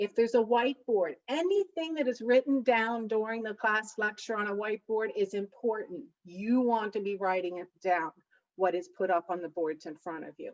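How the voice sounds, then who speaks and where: Her loudness swings widely, and her intonation is lively at a fairly high pitch. The woman keeps a moderate pace, and the sound is dry and close with no echo. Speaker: academic coach. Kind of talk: lecture.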